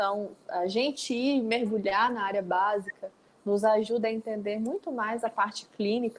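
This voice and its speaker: A woman with a Minas Gerais accent and fairly even intonation. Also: fairly high pitch for a woman, moderate pace. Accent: Minas Gerais Brazilian Portuguese. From Brazil, northern Minas Gerais (Pirapora). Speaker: nutritionist and university researcher. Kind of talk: online lecture.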